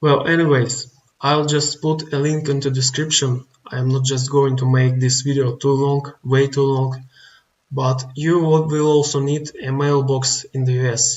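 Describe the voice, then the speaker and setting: The voice is somewhat breathy, with a non-native accent. It moves at a fairly slow pace in a monotone with flat intonation. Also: man, fairly high pitch for a man. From outside the US. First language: not English. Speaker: online business tutorial youtuber. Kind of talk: screen-recorded tutorial. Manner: halting, many fillers.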